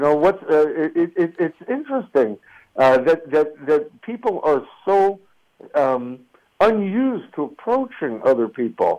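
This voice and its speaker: A man with an American accent talks at a fairly slow pace. His fairly high voice makes very wide pitch swings. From New Jersey suburbs, US. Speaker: activist and former student organizer. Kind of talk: radio interview. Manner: halting, many fillers and repetitions.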